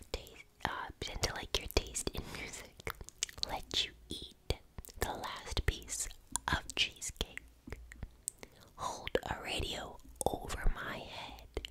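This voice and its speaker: Whispering at a very slow pace with long, frequent pauses, a woman is heard in dry sound with no echo over loud background noise. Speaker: ASMR creator. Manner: close-mic ASMR whisper. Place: home room. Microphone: studio mic.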